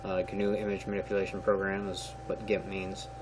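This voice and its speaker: With noticeable background noise present, a man speaks at a moderate pace. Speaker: gaming video creator, tutorial maker. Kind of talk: software tutorial. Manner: hesitant, many filler words.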